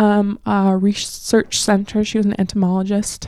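A woman at a fairly slow pace, dark and mellow in tone, medium in pitch. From North Dakota, US Midwest. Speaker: educator and housing rights organizer. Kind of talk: casual interview.

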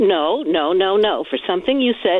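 An unremarkable speaking voice from a woman with an American accent, lively intonation and a moderate pace. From New Jersey. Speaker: caller. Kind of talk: call-in complaint. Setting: phone call. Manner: formal.

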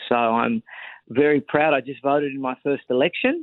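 A man with an Australian accent, medium pitch, ordinary pitch variation and a moderate pace. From Australia, Sydney. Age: 30s. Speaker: political commentator and author. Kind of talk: interview. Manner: formal.

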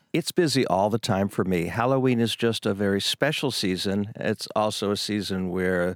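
A man with a fairly low pitch talks in an ordinary speaking voice, his pitch varying in an ordinary way. The recording is very clean and dry, close with no echo, over a silent background. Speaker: costume shop owner. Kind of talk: casual interview.

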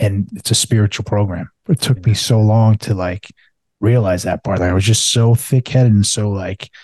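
The man's pitch is fairly low and his intonation fairly even. He is somewhat breathy and keeps a moderate pace. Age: 40s. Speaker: podcast host and recovering alcoholic. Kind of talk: casual interview chat.

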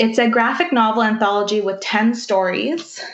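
A woman with a Canadian accent speaks in a normal speaking voice at a moderate pace. Her pitch is fairly high, with ordinary variation. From Manitoba, Canada (First Nation). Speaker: book content creator. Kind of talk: book review.

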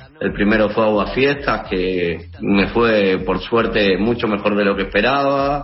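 A man's fairly slow speech with ordinary pitch variation, audible room echo and noticeable background noise. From Seville, Spain; moved to Uruguay at 16. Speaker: musician. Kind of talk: interview. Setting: video call.

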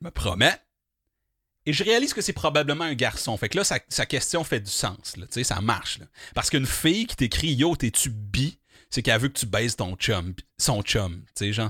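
On a very clean recording with a silent background, a man with a Quebec accent speaks at a moderate pace and medium pitch, animated and bright and sharp in tone, his pitch swinging very widely between long, frequent pauses. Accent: Québécois French. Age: 30s. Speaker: podcast host. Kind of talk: casual monologue.

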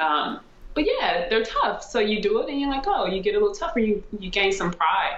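A woman with an American accent speaks at a moderate pace. Noticeable background noise and audible room echo fill the recording. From US Midwest (St. Louis, Missouri). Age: 30s. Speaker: former pro basketball player, coach and author. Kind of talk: casual interview chat.

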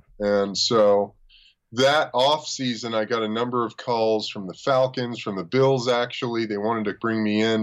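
Against a quiet background, a man with an unremarkable speaking voice talks at medium pitch and a moderate pace with fairly even intonation. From US, Los Angeles. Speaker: former pro football player. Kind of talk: casual chat.

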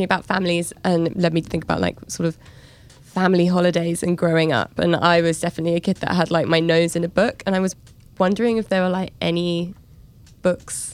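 A woman talks at a very fast pace in a London accent. Her pitch sits fairly low. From London, England. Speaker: podcast co-host, travel journalist. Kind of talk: casual chat.

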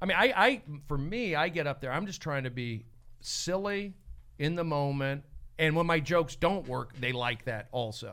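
A man with an American accent, fairly high-pitched, with a bright, sharp tone, a moderate pace and lively intonation. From California. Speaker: comedian and podcast host. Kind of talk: casual chat. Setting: studio.

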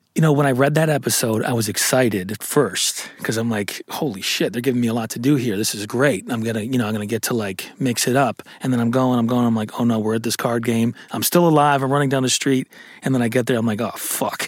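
Over noticeable background noise, a man with an American accent talks very fast at a medium pitch, his intonation fairly even. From upstate New York (Syracuse). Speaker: actor. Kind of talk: casual interview. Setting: studio. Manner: halting.

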